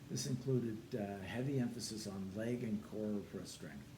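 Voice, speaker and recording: A man's fairly low voice at a moderate pace, with ordinary pitch variation, audible room echo and noticeable background noise. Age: 70s. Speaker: personal trainer and former soldier. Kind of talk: testimony.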